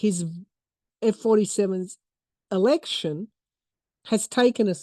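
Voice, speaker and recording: A woman's dark, mellow voice in an Australian accent at a fairly slow pace, with ordinary pitch variation, a dry, close sound with no echo, and a quiet background. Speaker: tarot reader and podcaster. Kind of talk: tarot reading monologue.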